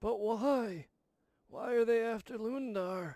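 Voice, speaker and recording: A man puts on a character voice at an extremely high pitch, delivering it at a fairly slow pace. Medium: game stream. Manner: grumbling, stubborn.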